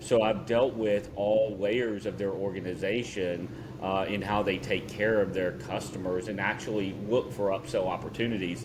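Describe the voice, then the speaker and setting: A man's fairly low, flat, monotone voice in a Southern US accent, moderate in pace with hardly any pauses, amid audible room echo and noticeable background noise. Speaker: podcast co-host. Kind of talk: casual chat.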